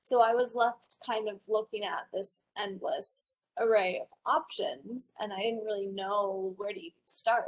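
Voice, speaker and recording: Using an ordinary speaking voice, a woman with a General American accent talks at a fairly slow pace and fairly high pitch, with ordinary pitch variation and big swings in loudness. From Wyoming, US. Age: 20s. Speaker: college student and patient. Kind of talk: conference presentation.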